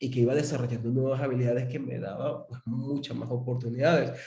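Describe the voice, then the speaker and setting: A man with a Venezuelan accent speaks in a dark, mellow tone that is somewhat breathy. Room echo is audible. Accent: Venezuelan accent noticeable. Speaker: interview host. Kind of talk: interview.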